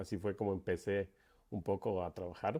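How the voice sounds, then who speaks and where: A man speaks in a normal speaking voice, fairly low in pitch and at a fairly slow pace. The recording is very clean, with a silent background. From Ecuador, Quito. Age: 40s. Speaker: paragliding pilot and event organizer. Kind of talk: interview.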